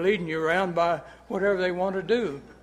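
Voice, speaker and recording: Here a man talks at a high pitch and a moderate pace. Room echo is audible. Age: 80s+. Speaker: citizen speaking at public comment. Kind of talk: public comment at council meeting.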